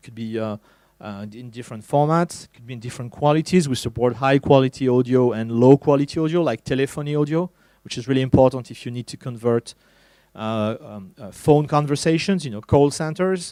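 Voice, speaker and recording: Speaking with a French accent, a man has a medium pitch and a dark, mellow tone. The sound is dry and close with no echo, and his loudness swings widely. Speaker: tech evangelist. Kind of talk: conference talk. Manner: halting, many fillers.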